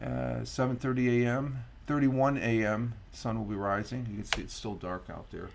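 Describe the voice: A man's medium-pitched voice at a moderate pace, with an American accent, vocal fry and fairly even intonation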